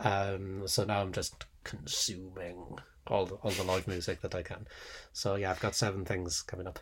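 A man with a very deep, low pitch and a somewhat breathy voice speaks in a monotone, flat intonation at a moderate pace on a very clean recording with a silent background. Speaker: podcast co-host, sociologist. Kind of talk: casual academic chat.

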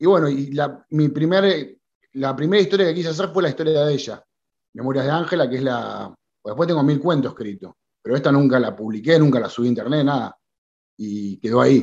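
Someone speaks at a fairly quick pace with an Argentine accent. The intonation is lively. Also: man, fairly high pitch for a man. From Argentina. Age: 30s. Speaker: writer. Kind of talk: interview. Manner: halting.

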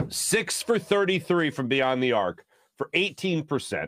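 There is vocal fry in this man's voice as he speaks at a fairly slow pace. The recording is very clean, with a silent background. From Philadelphia. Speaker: sports talk host. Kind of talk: sports talk show monologue. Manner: frequent filler hesitations.

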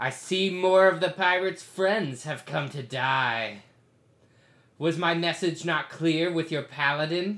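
A man puts on a high-pitched character voice at a fairly slow pace. The recording is very clean, with a silent background. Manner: menacing, contemptuous.

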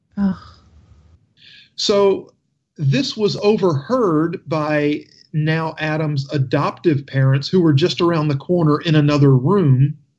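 Against a quiet background, a man with a fairly high pitch and ordinary pitch variation speaks at a very slow pace. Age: 40s. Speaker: radio talk show host. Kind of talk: radio talk show.

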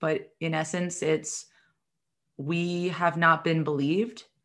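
In a plain, everyday voice with an American accent, a woman talks at a fairly low pitch and fairly slow pace with fairly even intonation, on a very clean recording with a silent background. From New York City area. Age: 30s. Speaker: chronic illness patient advocate and podcaster. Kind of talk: interview.

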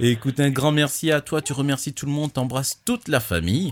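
The speaker has a normal speaking voice at a fairly quick pace. The sound is dry and close with no echo. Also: man. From Togo. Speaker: podcast host. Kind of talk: casual chat.

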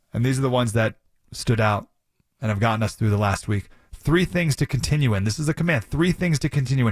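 A man's somewhat breathy voice at a very fast pace with lively intonation. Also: medium pitch for a man. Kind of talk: radio host patter. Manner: conversational, warm, earnest; chatty, rambling, punchy when teasing segments.

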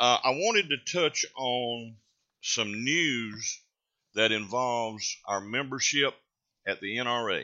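Speaking at a very slow pace in a Southern US accent, a man at medium pitch shows ordinary pitch variation. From North Carolina. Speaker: radio host. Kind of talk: talk radio monologue.

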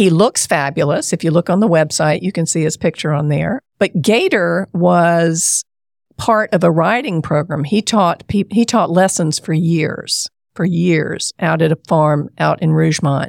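The voice has an American accent, vocal fry, very even loudness and ordinary pitch variation at a fairly slow pace. The recording is very clean, dry and close with no echo and a silent background. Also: woman, fairly low pitch for a woman. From US South, South Carolina. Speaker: therapist and horse farm owner. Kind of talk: interview.

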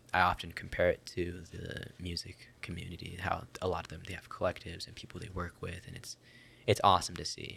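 A man whispers at a moderate pace, with long, frequent pauses and big swings in loudness. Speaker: podcast host. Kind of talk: casual chat. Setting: studio.

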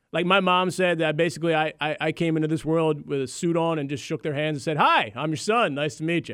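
A man's normal speaking voice, fairly high in pitch, at a fairly quick pace with fairly even intonation, in a very clean recording with a silent background. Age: 30s. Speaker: sports radio host. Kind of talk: sports talk radio.

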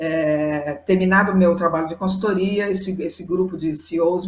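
In a normal speaking voice, a woman talks at a moderate pace with fairly low pitch and fairly even intonation. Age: 60s. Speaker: psychologist and diversity consultant. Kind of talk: interview.

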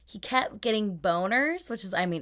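On a very clean recording with a silent background, a woman with an American accent uses a plain, everyday voice and ordinary pitch variation. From US Pacific Northwest (Seattle). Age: 30s. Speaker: podcast host. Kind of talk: casual chat.

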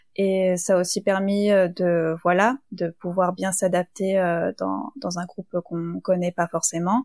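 A woman's medium-pitched voice at a very slow pace, fairly even in intonation, dry and close with no echo. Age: young. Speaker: business school student. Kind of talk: casual interview.

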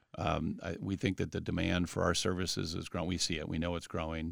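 At a very fast pace, a man with a Midwestern American accent talks at a very deep, low pitch with fairly even intonation. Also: hardly any pauses. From Columbus, Ohio, US Midwest. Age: 40s. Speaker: company CEO. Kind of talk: interview. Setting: studio. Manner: halting, many fillers.

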